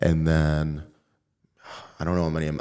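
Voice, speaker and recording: With an American accent, a man has a very deep, low pitch and a dark, mellow tone. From Chicago suburbs (Elmhurst, Illinois). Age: 20s. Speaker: mortgage lender. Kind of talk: casual interview chat. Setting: office podcast studio. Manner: halting, many fillers.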